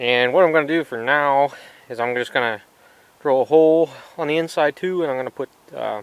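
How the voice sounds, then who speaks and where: Recorded with a dry, close sound and no echo, a man talks at a fairly quick pace with fairly even intonation. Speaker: tractor repair video maker. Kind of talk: casual tutorial.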